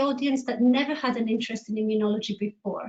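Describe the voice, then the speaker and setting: In a Greek accent, a woman speaks at a high pitch. Her intonation is fairly even. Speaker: immunologist. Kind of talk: panel talk.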